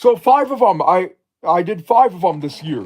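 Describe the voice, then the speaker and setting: A man with an American accent speaks at a high pitch and a fairly slow pace. His pitch swings very widely. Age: 20s. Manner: halting.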